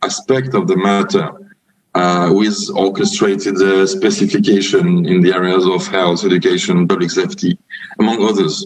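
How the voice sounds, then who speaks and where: A man speaks with a French accent at a moderate pace. Music plays in the background. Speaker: UN drug policy official, speaker. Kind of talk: conference talk. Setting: virtual forum. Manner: halting, many fillers.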